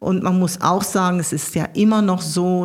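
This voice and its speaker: A woman speaks in a plain, everyday voice at a medium pitch and a fairly slow pace. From Ruhr area, Germany (Gelsenkirchen). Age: 60s. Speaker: state politician. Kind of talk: interview.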